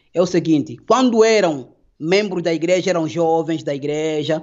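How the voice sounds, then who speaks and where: This man's voice sits fairly high in pitch, with ordinary pitch variation. He speaks at a moderate pace. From Angola. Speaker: former pastor. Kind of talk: interview.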